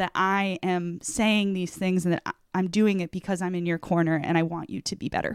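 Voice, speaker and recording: With an American accent, a woman at medium pitch speaks at a moderate pace with ordinary pitch variation and an unremarkable speaking voice, recorded dry and close with no echo in a very clean recording with a silent background. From New England (Vermont, Massachusetts). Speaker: sports dietitian. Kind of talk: interview.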